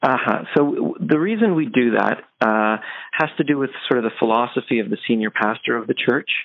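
A man with a Canadian accent talks at a medium pitch and a moderate pace, with lively intonation. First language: Polish. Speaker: theater artistic director. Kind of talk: interview.

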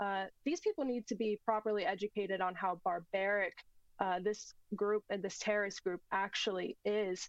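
A woman with an American accent and a plain, everyday voice speaks at medium pitch, her intonation fairly even and her loudness very even, in a dry, close sound with no echo. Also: moderate pace. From United States. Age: 20s. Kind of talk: political talk show interview.

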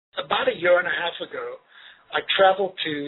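Noticeable background noise sits under a man whose speech moves at a moderate speed with typical pitch variation. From Zimbabwe. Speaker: charity volunteer. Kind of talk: interview.

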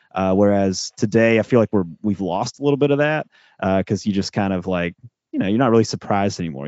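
Fairly low in pitch but lively in intonation, a man talks in an ordinary speaking voice. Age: 30s. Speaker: podcast co-host, guest. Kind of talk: casual chat.

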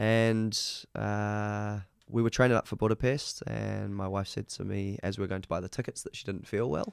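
A man's fairly low voice with fairly even intonation, in a very clean recording with a silent background. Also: moderate pace. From New Zealand, Auckland. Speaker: martial arts champion. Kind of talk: casual interview. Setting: studio.

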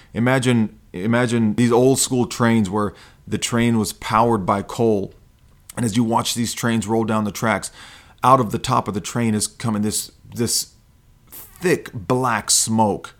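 With fairly even intonation, a man delivers his words at a fairly slow pace. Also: medium pitch for a man. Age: 40s. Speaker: podcast host, self-help coach. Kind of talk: monologue. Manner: hesitant fillers.

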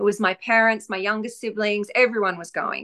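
In an Australian accent, the speech unfolds at a moderate pace. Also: woman. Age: 40s. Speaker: author and former nervous flyer. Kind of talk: casual interview.

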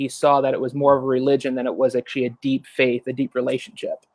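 The man's pitch is fairly high and his pace very fast. His sound is dry and close, with no echo. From Long Island, New York, then Florida from 13. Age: 20s. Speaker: churchgoer sharing testimony. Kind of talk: testimony.

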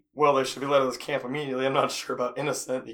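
A man uses a raspy, put-on character voice at a medium pitch, talking at a very fast pace. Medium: actual play.

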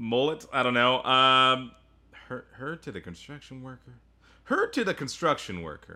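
This man has an ordinary speaking voice at a medium pitch, with ordinary pitch variation, a moderate pace and big swings in loudness. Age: 30s. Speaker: podcast co-host. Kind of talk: casual chat.

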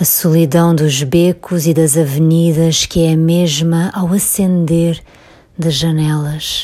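At a very slow pace, a woman with a fairly low pitch and a dark, mellow tone speaks in a monotone, flat way at very even loudness. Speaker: poet reading her own work. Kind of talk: poem reading. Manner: slow, measured, contemplative.

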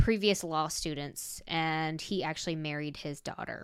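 A woman with an American accent talks in a fairly low pitch with ordinary pitch variation. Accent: southern US, comes out when heated. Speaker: paranormal podcast co-host. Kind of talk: paranormal storytelling. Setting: video call.

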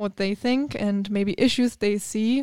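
In a German accent, a woman talks at a moderate pace on a very clean recording with a silent background and a dry, close sound with no echo. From Germany. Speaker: TV news reporter. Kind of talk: casual interview.

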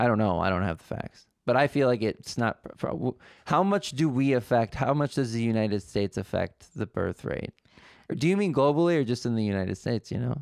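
A man speaks at a fairly quick pace with lively intonation and a medium pitch. His is a normal speaking voice, with a dry, close sound and no echo. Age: 20s. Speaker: podcast host. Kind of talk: casual chat. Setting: studio.

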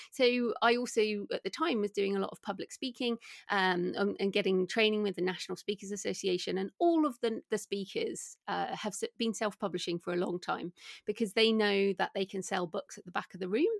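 Speaking fairly quickly with an English accent, a woman uses a medium pitch, the sound dry and close with no echo. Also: ordinary pitch variation, very clean recording, silent background. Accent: British English, English. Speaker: indie author and entrepreneur. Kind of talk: interview, casual chat.

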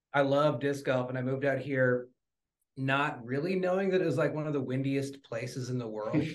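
A man talks at a fairly quick pace in an unremarkable speaking voice. His pitch sits fairly high, and his intonation stays fairly even. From Wisconsin. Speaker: barbecue cook. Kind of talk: casual interview.

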